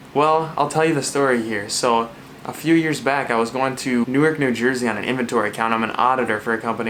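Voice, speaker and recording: An American accent marks this man's medium-pitched voice, delivered at a very fast pace with noticeable background noise and audible room echo. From Minnesota. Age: 20s. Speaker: Bible study video host. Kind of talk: casual talk to camera.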